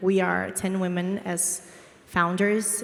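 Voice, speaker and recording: Speaking in a Portuguese accent at a medium pitch, a woman keeps a monotone, flat intonation over noticeable background noise. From Brazil. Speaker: DAO co-founder, former finance professional. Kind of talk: panel discussion.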